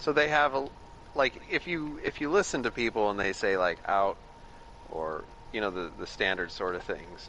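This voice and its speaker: With an American accent, a man talks at a moderate pace, his pitch swinging very widely. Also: medium pitch for a man. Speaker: gaming stream co-player. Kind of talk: casual chat.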